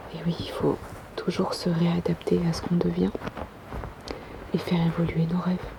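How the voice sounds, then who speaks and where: Whispering and soft-spoken, the voice keeps a moderate pace with long, frequent pauses over noticeable background noise. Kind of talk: ASMR reading. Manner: soft-spoken, whispered.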